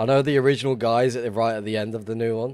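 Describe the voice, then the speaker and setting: A man with an English accent talks at a very fast pace, medium pitch and fairly even intonation. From England. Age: 30s. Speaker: gaming streamer. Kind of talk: casual live-stream chat.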